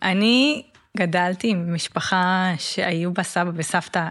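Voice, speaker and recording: A woman speaks at a medium pitch. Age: 30s. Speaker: gerontologist and age-tech lab director. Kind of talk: interview.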